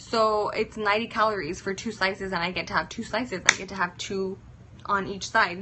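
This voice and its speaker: A woman has an ordinary speaking voice at medium pitch with fairly even intonation. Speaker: fitness influencer. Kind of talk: casual live-stream chat.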